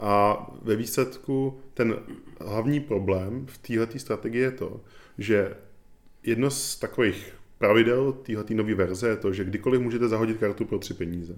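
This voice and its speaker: At a moderate pace comes a normal speaking voice. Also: man. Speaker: podcast host. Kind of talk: casual chat about board games.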